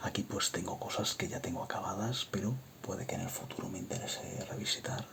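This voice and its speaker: The voice is whispering. There is noticeable background noise. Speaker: ASMR creator. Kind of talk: ASMR show-and-tell of a game console collection. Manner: soft-spoken.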